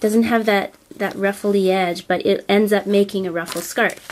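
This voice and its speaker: A woman talks at a medium pitch with ordinary pitch variation. Noticeable background noise sits behind her. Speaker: craft tutorial creator. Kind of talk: tutorial. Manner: hesitant, many fillers.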